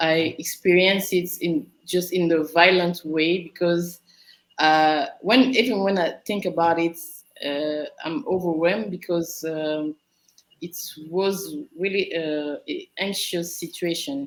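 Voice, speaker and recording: A woman with a fairly low voice talks very slowly, showing ordinary pitch variation. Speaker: natural hair advocate. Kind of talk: panel discussion. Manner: halting.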